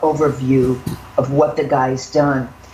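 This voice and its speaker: A woman speaks at a fairly slow pace. There is noticeable background noise and audible room echo. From northern US. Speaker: political news commentator. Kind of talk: political commentary chat.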